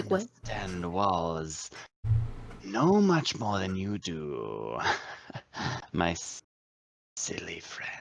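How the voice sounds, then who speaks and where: This man puts on a character voice with a very deep, low pitch. He talks at a very slow pace, leaving long, frequent pauses. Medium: actual play. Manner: formal, stilted, easily offended.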